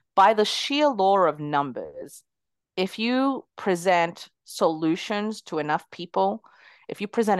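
Her voice medium in pitch, a woman speaks at a fairly slow pace with lively intonation, the sound dry and close with no echo over a quiet background. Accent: non-native. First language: not English. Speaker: entrepreneur. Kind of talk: interview.

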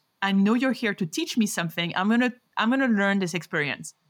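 A woman with a French accent speaks at a medium pitch with ordinary pitch variation, her voice dry and close with no echo on a very clean recording against a silent background. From France, Paris. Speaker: rheumatologist. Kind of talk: interview.

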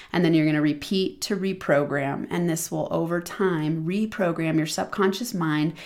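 A woman with a normal speaking voice, fairly low in pitch, with ordinary pitch variation and a moderate pace. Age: 40s. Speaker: podcast host and money mindset coach. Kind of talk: solo podcast teaching monologue.

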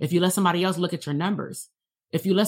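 Very fast and animated, a somewhat breathy voice comes through on a very clean recording with a silent background. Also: woman. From Compton, Los Angeles, California. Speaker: psychologist and business coach. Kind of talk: livestream coaching talk. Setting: livestream.

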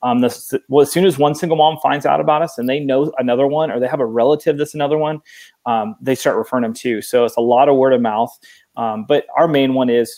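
Speaking at a very fast pace, a man uses a medium pitch and ordinary pitch variation, his tone dark and mellow. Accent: Pacific Northwest. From Oregon, US. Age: 30s. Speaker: nonprofit founder. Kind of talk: interview.

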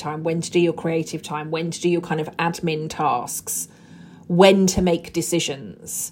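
A woman speaks at a moderate pace in a fairly low voice. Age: 40s. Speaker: podcast host and burnout coach. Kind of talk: solo podcast monologue. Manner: casual, unscripted.

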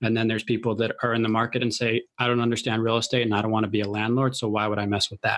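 In an American accent, a man at a medium pitch talks very fast in a flat monotone with hardly any pauses. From Chicago, US Midwest. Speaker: podcast host interviewing millionaires. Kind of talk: casual interview chat.

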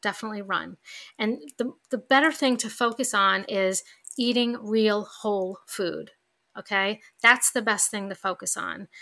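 A warm yet bright, sharp tone in a New York accent, fairly slow and with fairly even intonation, on a very clean recording with a silent background. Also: woman, fairly high pitch for a woman. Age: 50s. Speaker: podcast host. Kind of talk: solo podcast monologue. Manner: conversational, warm.

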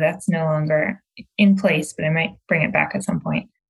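A somewhat breathy woman's voice at a moderate pace, with fairly even intonation. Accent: American. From Michigan, outside Detroit. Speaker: real estate coach. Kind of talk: interview conversation.

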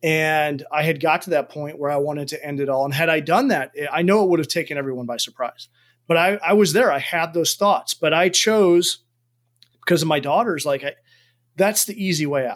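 On a very clean recording with a silent background, a man with an American accent talks at a fairly quick pace in a normal speaking voice, his pitch fairly high and its variation ordinary. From United States. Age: 40s. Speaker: army officer and performance coach. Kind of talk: interview conversation.

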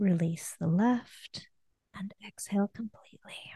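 At a very slow pace, a woman speaks in a somewhat breathy, medium-pitched voice with a dark, mellow tone, a calm tone and ordinary pitch variation, the sound dry and close with no echo. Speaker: happiness coach and orthodontist. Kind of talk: interview; guided breathing exercise. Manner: slowed down, calm.

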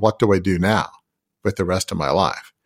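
With an Australian accent, a man talks at a fairly quick pace with fairly even intonation. His pitch is fairly low, and the recording is very clean with a silent background. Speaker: leadership coach and business founder. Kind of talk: podcast interview.

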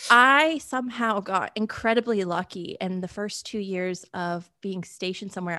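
Against a quiet background, the speaker has a bright, sharp tone, ordinary pitch variation and an American accent. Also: woman. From Connecticut, US Northeast. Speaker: horse show photographer and Army veteran. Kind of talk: casual interview.

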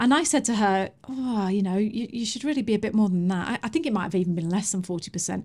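A woman's very fast, somewhat breathy speech at medium pitch, with lively intonation and hardly any pauses. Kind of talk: casual chat. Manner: animated.

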